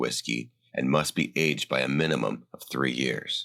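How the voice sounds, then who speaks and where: On a very clean recording with a silent background, a man speaks at a moderate pace with vocal fry. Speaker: voice actor. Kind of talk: scripted narration. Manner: explainer style.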